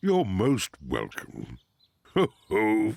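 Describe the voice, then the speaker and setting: A man's cartoonish character voice with a fairly low pitch. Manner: jovial, chuckling.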